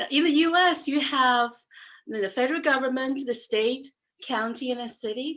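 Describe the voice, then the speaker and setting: Her voice is high for a woman, with ordinary pitch variation. She speaks in a Chinese accent. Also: moderate pace, very clean recording, silent background. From China, Xuzhou. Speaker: entrepreneur. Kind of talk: presentation talk.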